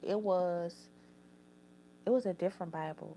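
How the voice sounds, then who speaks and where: Her voice sits at a medium pitch, with a New Orleans accent. The recording of this woman is very clean, with a silent background. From New Orleans, Louisiana. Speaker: YouTuber. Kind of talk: reading aloud; casual chat. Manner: halting.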